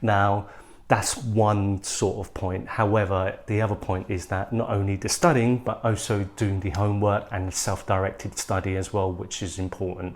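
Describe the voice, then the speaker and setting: A man with a British accent speaks at a moderate pace in a fairly low, somewhat breathy voice with fairly even intonation. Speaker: YouTuber, mature student. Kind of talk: tutorial advice talk.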